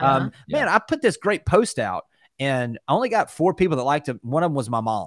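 Pitch swings very widely as the speaker goes at a very fast pace. The sound is dry with no echo against a quiet background. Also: man, fairly high pitch for a man. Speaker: real estate company executive; guest real estate coach. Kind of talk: casual interview. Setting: video call. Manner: animated. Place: home room. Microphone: studio mic.

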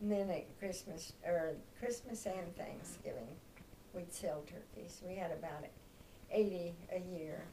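Speaking with a Midwestern American accent, a woman uses a fairly low pitch, ordinary pitch variation and a fairly slow pace amid light background noise. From Kansas. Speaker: grandmother sharing memories. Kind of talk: oral history interview answer. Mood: warm, reminiscing. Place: home room. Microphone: camera far.

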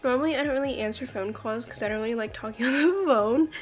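Faint music plays in the background behind a voice with ordinary pitch variation. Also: woman. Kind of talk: casual vlog chat. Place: home room. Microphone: phone near.

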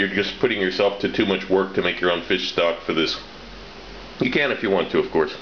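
A man with a fairly low pitch amid audible room echo and light background noise. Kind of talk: tutorial. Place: kitchen.

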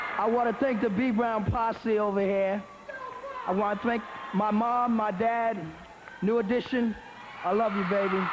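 Over noticeable background noise, a high-pitched man speaks at a moderate pace in a flat monotone. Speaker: singer. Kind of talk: award acceptance speech. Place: stage. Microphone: podium.

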